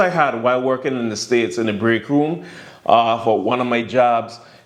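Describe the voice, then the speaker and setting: With a Virgin Islands accent, a man talks at a moderate pace in a medium-pitched voice, with audible room echo and noticeable background noise. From US Virgin Islands, St. Thomas. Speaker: vlogger. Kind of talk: casual vlog monologue. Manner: relaxed, filler-heavy.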